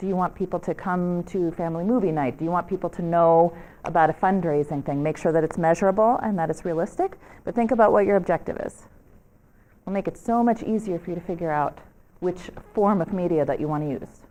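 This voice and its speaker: Talking very fast with a dark, mellow tone, a woman with a New York accent uses a fairly low pitch and ordinary pitch variation. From US, New York. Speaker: media trainer. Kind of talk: workshop presentation. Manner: animated.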